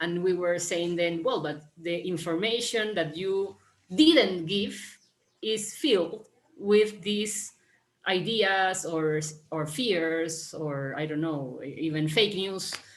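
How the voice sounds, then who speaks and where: At a very slow pace, a woman speaks with a fairly low pitch and ordinary pitch variation, with audible room echo. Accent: Spanish. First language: Spanish. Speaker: panelist, urban planning practitioner. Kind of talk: panel discussion. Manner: halting, many fillers and repetitions.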